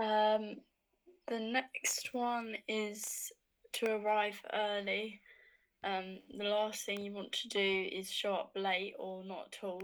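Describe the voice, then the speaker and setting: A woman speaks in a southern English accent with monotone, flat intonation. Her pace is very slow. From Hertfordshire, England. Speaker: law student. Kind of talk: casual chat.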